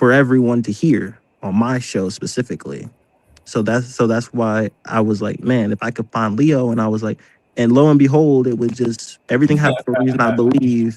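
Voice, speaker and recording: Fairly quick and fairly even in intonation, a man with an ordinary speaking voice and an American accent talks at a medium pitch. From North Carolina (Fayetteville). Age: 20s. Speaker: podcast host. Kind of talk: casual chat.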